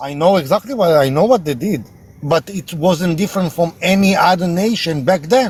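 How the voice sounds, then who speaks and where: At a moderate pace, a man speaks with an Israeli accent and a high pitch. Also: lively intonation. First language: Hebrew. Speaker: live stream debater. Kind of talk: heated debate; storytelling.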